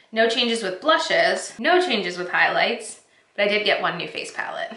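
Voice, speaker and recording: There's audible room echo as a woman speaks at a moderate pace. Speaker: beauty vlogger. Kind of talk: casual vlog chat. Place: home room.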